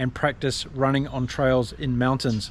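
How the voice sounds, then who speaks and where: The voice carries a New Zealand accent and a monotone, flat intonation. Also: man. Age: 50s. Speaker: ultra distance runner. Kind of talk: casual talk to camera.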